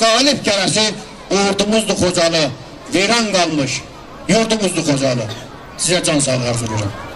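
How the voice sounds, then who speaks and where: With very wide pitch swings and very even loudness, a man talks at a fairly slow pace, leaving long, frequent pauses over light background noise. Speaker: commemoration speaker / emcee. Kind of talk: commemorative speech. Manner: solemn, emotional. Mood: solemn, mournful. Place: street. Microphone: handheld.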